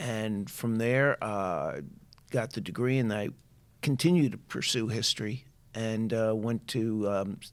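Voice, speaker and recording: In a very clean recording with a silent background, a man speaks fairly slowly with a New York accent. His pitch is medium, with ordinary variation. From New York, Long Island. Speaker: higher education official. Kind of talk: interview.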